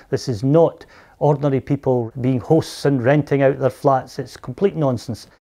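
A man's dark, mellow tone at a moderate pace, ordinary pitch variation, quiet background. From Scotland. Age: 60s. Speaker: local resident. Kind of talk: interview. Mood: concerned, critical. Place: home room.

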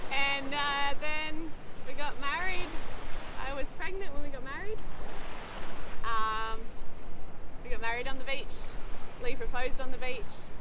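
The speaker talks at a fairly slow pace with long, frequent pauses. Noticeable background noise runs under the voice. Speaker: sailing vlogger. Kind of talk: casual vlog chat. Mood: warm, laughing often. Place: beach.

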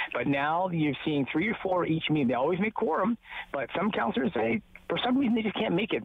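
A man with a Canadian accent talks at a very fast pace, and the sound is dry with no echo. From Ontario, Canada. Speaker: newspaper reporter; local newspaper reporter. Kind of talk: casual chat. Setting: phone call outdoors. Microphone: phone line.

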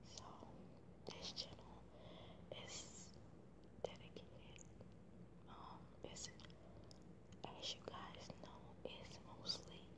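Loud background noise sits behind a woman's voice. She speaks at a very slow pace with long, frequent pauses. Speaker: ASMR channel creator. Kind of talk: casual vlog chat. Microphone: phone near.

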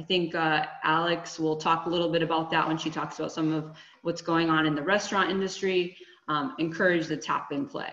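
A woman's fairly low voice at a fairly quick pace with fairly even intonation, over noticeable background noise. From Connecticut. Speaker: HR and staffing business owner. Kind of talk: webinar presentation. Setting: video call.

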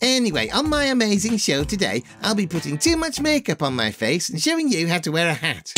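In a cartoonish character voice, the speaker whines at a fairly quick pace, the pitch swinging very widely up and down. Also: man, high pitch for a man. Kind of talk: comic overacting. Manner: whiny, self-absorbed, gushing.

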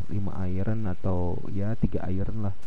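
A man speaks at a fairly low pitch. Noticeable background noise can be heard. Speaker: gaming streamer. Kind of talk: gameplay commentary. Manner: casual, animated.

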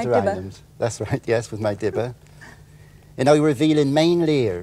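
A man with a West Country accent, a dark, mellow tone, medium pitch and a moderate pace. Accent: West Country (Wessex). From Wiltshire, England. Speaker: author. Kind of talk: interview answer. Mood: amused, relaxed. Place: studio.

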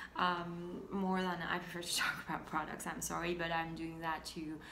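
A woman's fairly low voice holds a monotone, flat intonation over light background noise. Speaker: fashion and tech blogger. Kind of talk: casual talk to camera. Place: home room. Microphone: phone near.

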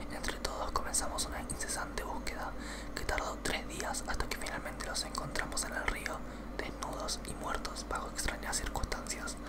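There is noticeable background noise behind the speaker. A man whispers at a moderate pace. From Argentina. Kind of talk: ASMR creepypasta reading, whispered ear to ear. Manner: whispered, soft.

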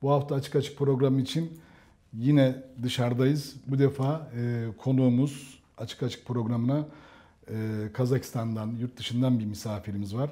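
Against a quiet background, a man speaks at a moderate pace in a somewhat breathy, dark, mellow tone. He leaves long, frequent pauses. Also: fairly even intonation. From Turkey. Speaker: tech program host. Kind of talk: interview. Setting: on location outside the studio. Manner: halting. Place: home room. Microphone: lapel.

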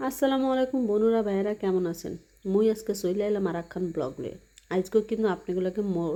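A woman with a Bangladeshi accent speaks at a medium pitch with ordinary pitch variation and a dark, mellow tone against a quiet background. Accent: Bangladeshi regional dialect. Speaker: vlogger. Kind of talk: casual vlog monologue. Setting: bathroom.

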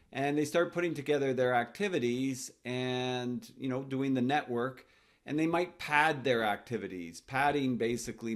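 A man at medium pitch, fairly slow in pace, with ordinary pitch variation.

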